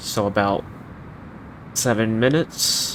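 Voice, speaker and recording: A soft-spoken voice. Noticeable background noise runs underneath. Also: man. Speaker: flight sim streamer. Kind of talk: live stream commentary. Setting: live stream.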